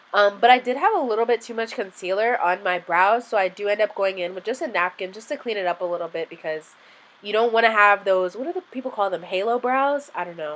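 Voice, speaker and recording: Over noticeable background noise, a woman talks at a very fast pace with a medium pitch and ordinary pitch variation. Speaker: beauty youtuber. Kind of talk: tutorial. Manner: casual, frequent ums.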